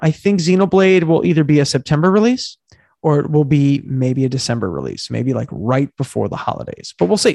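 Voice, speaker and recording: This man talks at a fairly quick clip with a fairly high pitch, lively intonation and a dark, mellow tone, in a dry, close sound with no echo. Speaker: video game podcast co-host. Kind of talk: casual chat.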